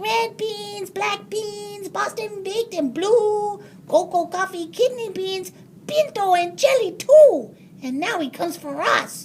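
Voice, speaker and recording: In a put-on character voice, the speaker goes extremely high in pitch at a fairly slow pace. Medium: read story. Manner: casual drawling.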